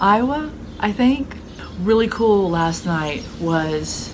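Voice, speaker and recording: The pace is very slow as a woman speaks. Light background noise is present. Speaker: vlogger on business trip. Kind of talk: casual vlog chat. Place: home room. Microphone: phone near.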